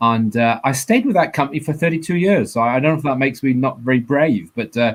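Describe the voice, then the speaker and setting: A man with a slight Welsh accent, very fast pace, lively intonation and very even loudness. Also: medium pitch for a man. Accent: weak Welsh. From south Wales, Swansea area. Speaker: engineer. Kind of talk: panel talk. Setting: online event. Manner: halting.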